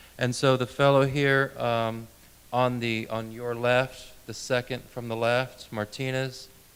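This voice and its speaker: Against noticeable background noise, a man of medium pitch speaks at a fairly slow pace in a monotone, flat intonation. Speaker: interviewer. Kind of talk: interviewer questions.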